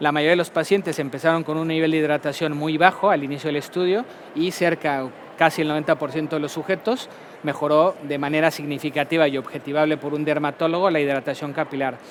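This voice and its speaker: A man speaks at a very fast pace, his pitch fairly high. His intonation stays fairly even. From Mexico. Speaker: pharmaceutical company medical director. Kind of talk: conference talk.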